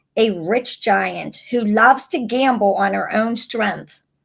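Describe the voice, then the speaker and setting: In a put-on character voice, a woman growls at a fairly high pitch. She keeps a fairly slow pace. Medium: read story. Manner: sighing.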